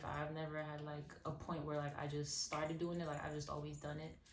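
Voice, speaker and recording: Fairly quick speech with a New York accent, audible room echo and noticeable background noise. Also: woman. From Brooklyn, New York (Crown Heights), born in Haiti. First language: Haitian Creole. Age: 20s. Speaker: singer. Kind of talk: casual interview. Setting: outdoors.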